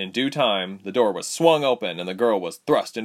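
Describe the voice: The delivery is plain reading aloud. Its intonation is lively.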